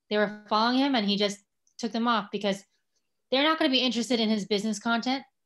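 A fairly high-pitched woman's voice with an American accent and fairly even intonation, on a very clean recording with a silent background. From US, Los Angeles. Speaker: social media marketer. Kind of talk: casual interview conversation.

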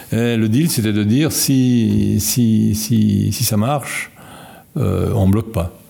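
Speaking very slowly at a fairly low pitch, a man keeps his loudness very even while his pitch varies in an ordinary way. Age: 70s. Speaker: retired bicycle component engineer. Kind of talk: interview. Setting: on location at a company site.

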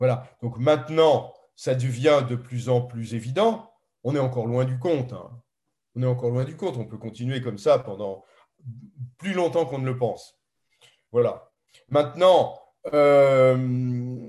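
Somewhat breathy and medium-pitched, a man speaks at a fairly slow pace with ordinary pitch variation and long, frequent pauses. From France, Paris. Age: 70s. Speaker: ethnobotanist and author. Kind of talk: interview conversation. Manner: hesitant, with filler sounds.

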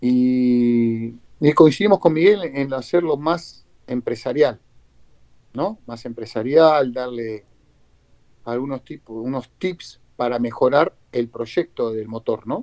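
Delivered at a very slow pace in a Rioplatense accent, the voice has a dark, mellow tone, ordinary pitch variation, and big swings in loudness. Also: man, medium pitch for a man. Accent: Argentine Rioplatense Spanish. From Argentina, Buenos Aires area (Avellaneda). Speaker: retired footballer. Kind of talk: interview.

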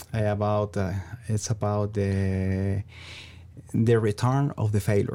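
A man with a Venezuelan accent, a fairly low pitch and a dark, mellow tone, at a very slow pace with long, frequent pauses, monotone, flat intonation and very even loudness. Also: very clean recording, silent background. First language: Spanish. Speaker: entrepreneur. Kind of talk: interview. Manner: halting.

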